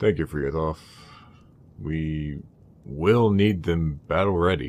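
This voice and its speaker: The man talks at a fairly slow pace. His put-on character voice sits at a very deep, low pitch. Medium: machinima. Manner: casual, wry.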